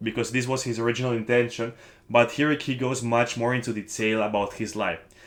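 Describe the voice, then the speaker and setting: A man with a non-native accent and fairly even intonation, in a very clean recording with a silent background. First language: not English. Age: young. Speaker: book-review vlogger. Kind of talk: casual vlog talk to camera. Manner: halting with self-corrections.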